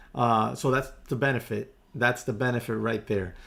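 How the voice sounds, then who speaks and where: Speaking with a Spanish accent and vocal fry, a man uses ordinary pitch variation. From US, Spanish-speaking family. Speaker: day trader live streamer. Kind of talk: casual live stream chat. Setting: home live stream. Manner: conversational, reading chat aloud.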